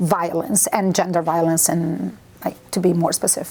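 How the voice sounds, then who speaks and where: A woman speaks with an Italian accent. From Italy. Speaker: university lecturer. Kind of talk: interview. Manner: hesitant, with fillers.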